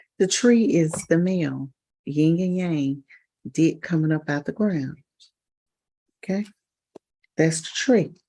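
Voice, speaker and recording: A soft-spoken woman's fairly low, dark, mellow voice at a very slow pace, with long, frequent pauses. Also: ordinary pitch variation. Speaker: spiritual livestream host. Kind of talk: casual livestream talk. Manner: halting, many repetitions.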